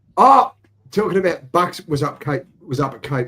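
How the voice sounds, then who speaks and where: A man with an Australian accent. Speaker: livestream host. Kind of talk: casual chat.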